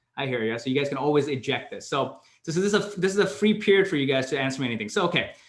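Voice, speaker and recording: Very fast speech with lively intonation and audible room echo. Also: man, fairly high pitch for a man. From Canada. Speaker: career mentor. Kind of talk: online Q&A session.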